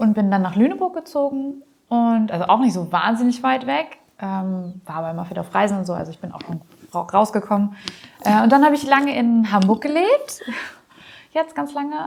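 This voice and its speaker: A woman with a fairly high pitch talks at a moderate pace, her voice marked by very wide pitch swings and big swings in loudness. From northern Germany, Harburg district (Langrehm). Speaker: deputy chair of an amateur theatre group. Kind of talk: casual interview chat.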